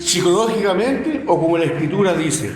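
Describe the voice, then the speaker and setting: In a room with audible echo, a high-pitched man talks at a moderate pace with lively intonation. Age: 60s. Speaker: lay preacher. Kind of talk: sermon.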